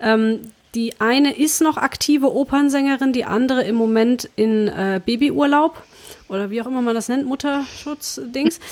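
With ordinary pitch variation, a woman speaks in a high pitch. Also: moderate pace. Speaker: podcast host and performing artist. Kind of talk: casual chat.

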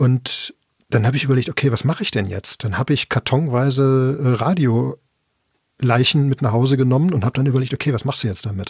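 A man speaks at a fairly quick pace in a somewhat breathy, medium-pitched voice with ordinary pitch variation, the sound dry and close with no echo. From Ruhr area, Bochum. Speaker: podcaster. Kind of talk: casual chat.

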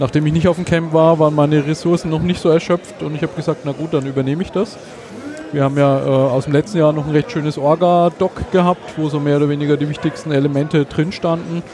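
Amid noticeable background noise, a man speaks very fast in a fairly high pitch with fairly even intonation. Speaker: podcast event organizer. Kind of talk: casual chat. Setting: at a conference with crowd noise around.

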